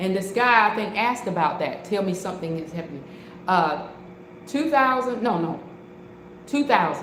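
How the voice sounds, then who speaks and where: A woman at medium pitch with lively intonation, a moderate pace and long, frequent pauses, plus noticeable background noise and audible room echo. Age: 60s. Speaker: online preacher. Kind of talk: testimony; live-stream sermon. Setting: live stream. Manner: halting, repeats words.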